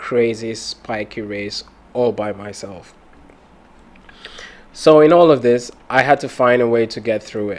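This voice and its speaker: The speech unfolds at a very slow pace amid noticeable background noise. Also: man. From Cameroon. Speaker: podcast host. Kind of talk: personal storytelling.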